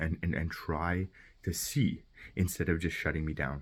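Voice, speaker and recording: Male speaker on a very clean recording with a silent background. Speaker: vlogger. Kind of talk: personal video message. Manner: fast; halting.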